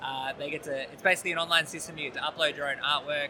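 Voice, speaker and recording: The intonation is fairly even. Noticeable background noise is present. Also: man. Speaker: game designer and illustrator. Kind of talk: interview.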